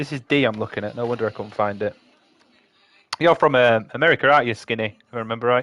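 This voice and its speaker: A man with a Yorkshire accent and ordinary pitch variation. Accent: Yorkshire, throws people off. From Yorkshire, northern England. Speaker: livestreamer building model kits. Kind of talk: casual chat with live chat while building. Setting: live stream. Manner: casual, chatty.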